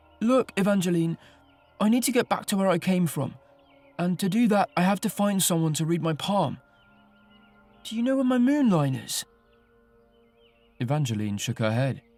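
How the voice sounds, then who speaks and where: Music plays in the background as a man speaks at a moderate pace, with long, frequent pauses. His voice is high-pitched and swings very widely in pitch. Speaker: audiobook narrator. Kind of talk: audiobook reading. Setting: studio. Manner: narrative storytelling.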